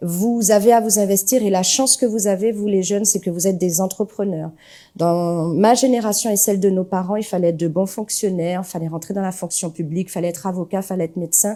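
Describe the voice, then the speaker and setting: A woman's dark, mellow tone at a fairly quick pace, with fairly even intonation. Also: medium pitch for a woman. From Martinique (Le Vauclin, south). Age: 40s. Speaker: parliamentary candidate. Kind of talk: interview.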